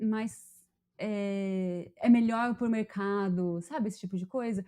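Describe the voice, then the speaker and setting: A woman with a dark, mellow tone speaks at a fairly slow pace with ordinary pitch variation. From Brazil, Pará. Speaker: podcast host. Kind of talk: casual chat.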